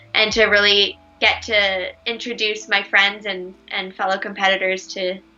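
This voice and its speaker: Against noticeable background noise, a speaker with a Canadian accent talks at a moderate pace in a monotone, flat intonation. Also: woman, medium pitch for a woman. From Canada. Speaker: ice dancer. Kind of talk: casual chat.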